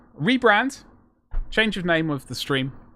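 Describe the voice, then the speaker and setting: With a bright, sharp tone, a man speaks at a fairly quick pace, his pitch swinging very widely. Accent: British. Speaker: miniature painting streamer. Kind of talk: live stream casual chat. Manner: fast.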